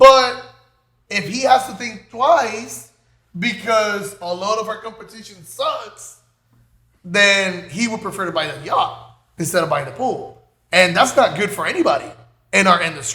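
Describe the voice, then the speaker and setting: A man with a Spanish accent and a high pitch uses a raised, projected voice with lively intonation, big swings in loudness and long, frequent pauses. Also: fairly slow pace. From Puerto Rico. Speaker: pool builder, business co-owner. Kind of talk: casual podcast chat. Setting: office studio. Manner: halting, many fillers.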